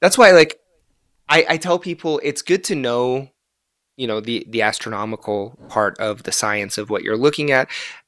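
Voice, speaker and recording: On a very clean recording with a silent background, a man with an American accent speaks at a moderate pace and medium pitch, with lively intonation. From Gaza, Palestine; raised mainly in Florida, US. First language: Arabic. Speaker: astrophotographer, artist. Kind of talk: interview.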